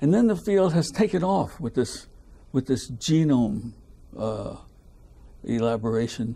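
A man's dark, mellow tone at a fairly slow pace, with very wide pitch swings and long, frequent pauses. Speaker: retired biochemist; interviewee. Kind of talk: oral history interview. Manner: halting. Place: home room.

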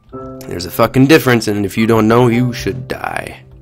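Music plays in the background as a man talks at a moderate pace. His medium-pitched voice keeps fairly even intonation. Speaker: gamer commentating gameplay. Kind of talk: casual, profane.

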